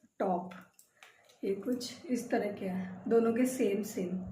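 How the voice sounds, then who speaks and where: A woman's dark, mellow tone with ordinary pitch variation and audible room echo. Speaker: vlogger, homemaker. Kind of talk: casual vlog talk.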